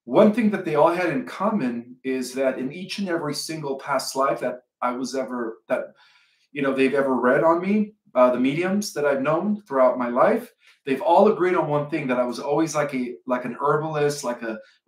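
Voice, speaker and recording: A man is heard with audible room echo over a quiet background. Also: moderate pace. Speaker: channel host. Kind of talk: casual vlog chat. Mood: relaxed, amused. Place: home room. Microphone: webcam.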